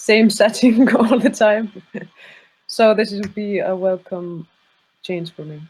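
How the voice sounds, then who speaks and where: Speaking at a very slow pace with long, frequent pauses, a woman uses a fairly high, somewhat breathy voice, with ordinary pitch variation and big swings in loudness. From northern Iceland. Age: 30s. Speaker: tabletop role-playing player. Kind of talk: casual chat.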